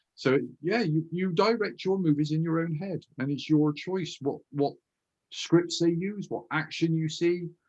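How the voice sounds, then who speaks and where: A man with a high voice and a Bristolian accent, talking at a fairly slow pace with ordinary pitch variation. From Bristol, England. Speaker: hypnotherapist and author. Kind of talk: interview conversation.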